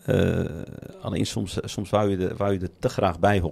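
Very deep and low, the man's voice has a dark, mellow tone. He keeps a moderate pace with ordinary pitch variation. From Netherlands, Moroccan family. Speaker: podcast host. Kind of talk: casual chat. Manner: halting.

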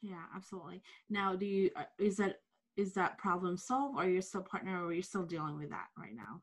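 A woman with a plain, everyday voice, medium pitch and ordinary pitch variation, at a fairly quick pace with big swings in loudness, against a quiet background. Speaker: podcast host. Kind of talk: interview. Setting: video call.

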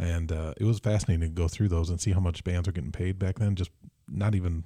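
On a very clean recording with a silent background, a man talks at a very fast pace in a very deep, low pitch, with a dark, mellow, somewhat breathy tone and fairly even intonation. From Michigan, Mason. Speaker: musician. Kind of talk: casual chat. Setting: studio.

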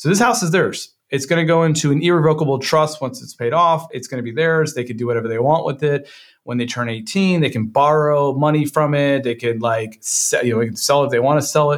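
Here a man with a plain, everyday voice speaks at a fairly quick pace, fairly high in pitch with ordinary pitch variation. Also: hardly any pauses, very clean recording, silent background. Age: 30s. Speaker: digital marketing agency founder and investor. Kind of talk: casual interview.

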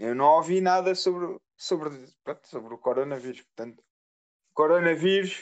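A man with a high pitch speaks, his pitch shifting in an ordinary way. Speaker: podcast co-host. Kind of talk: casual chat.

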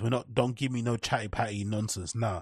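A man with a London accent speaks at a medium pitch and a fairly quick pace, sounding somewhat breathy. The sound is dry and close with no echo, over a quiet background. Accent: British English, London. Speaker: podcast host. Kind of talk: casual solo commentary. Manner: animated.

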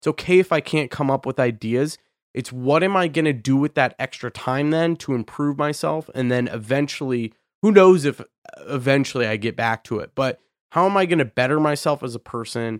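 Here is a man with an ordinary speaking voice, fairly high in pitch with ordinary pitch variation, at a fairly quick pace. The sound is dry and close with no echo, on a very clean recording with a silent background. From Idaho, US. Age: 20s. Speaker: podcast host, music producer. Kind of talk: casual interview chat.

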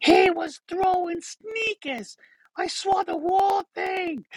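This put-on character voice has an extremely high pitch and a strong Boston accent. It moves at a very slow pace. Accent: thick Boston.

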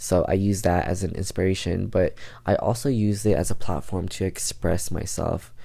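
A man's voice sits very deep and low, with a dark, mellow tone and vocal fry. His pace is moderate and his pitch variation ordinary. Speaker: podcaster. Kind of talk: casual solo podcast, venting. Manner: casual, slangy, halting.

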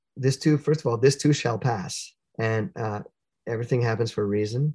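Against a quiet background, a man with a medium pitch speaks at a moderate pace, somewhat breathy and with ordinary pitch variation. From Canada (Sudbury, Ontario). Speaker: jazz musician. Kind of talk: interview.

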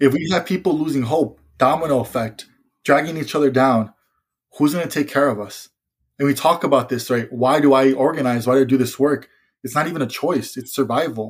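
Speaking at a fairly quick pace, a man with an ordinary speaking voice and a fairly high pitch is heard on a very clean recording with a silent background. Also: ordinary pitch variation. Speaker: environmental and youth organizer. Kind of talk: casual chat.

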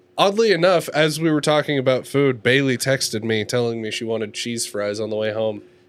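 A man's unremarkable speaking voice at medium pitch, with ordinary pitch variation, a fairly quick pace and hardly any pauses. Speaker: podcast co-host. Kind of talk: casual chat.

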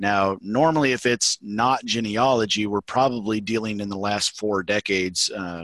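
Against a quiet background, a man with a Southern US accent speaks at a fairly slow pace in a fairly low pitch with ordinary pitch variation, the sound dry and close with no echo. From Mississippi. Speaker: Masonic grand secretary and librarian. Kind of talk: casual interview.

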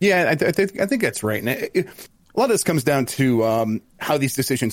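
Speaking at a fairly quick pace, a man has a medium pitch and a normal speaking voice. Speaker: games journalist. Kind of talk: casual chat, gaming podcast.

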